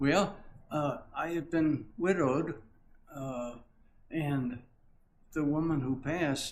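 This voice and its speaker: Very slow speech with audible room echo. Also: man. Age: 80s+. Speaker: longtime church member. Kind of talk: interview. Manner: halting.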